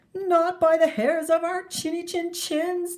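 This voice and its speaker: A woman puts on a squeaky character voice at an extremely high pitch, speaking at a fairly slow pace. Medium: read story. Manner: squealing, excitable.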